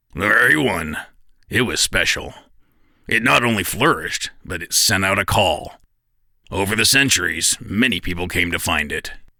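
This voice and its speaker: Putting on a raspy character voice, a man speaks at a fairly low pitch with lively intonation on a very clean recording with a silent background. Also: moderate pace. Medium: audio drama. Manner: easygoing, wry.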